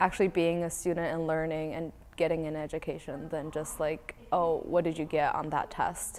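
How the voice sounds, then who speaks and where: With a New England accent, a woman speaks at a fairly low pitch in a monotone, flat delivery with hardly any pauses. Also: moderate pace. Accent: American (New England). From Connecticut, moved from China in second grade. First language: Mandarin Chinese. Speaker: college swimmer. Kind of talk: interview. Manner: casual, many fillers.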